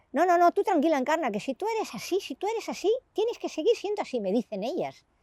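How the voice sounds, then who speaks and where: A woman talks at a fairly quick pace in a dark, mellow tone. The recording is very clean with a silent background and a dry, close sound with no echo. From Andalusia, Granada (Spain). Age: 60s. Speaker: interviewee, grandmother. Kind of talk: interview. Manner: animated.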